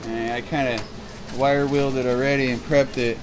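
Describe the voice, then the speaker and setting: A man is heard over noticeable background noise. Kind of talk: casual project walkthrough. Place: garage.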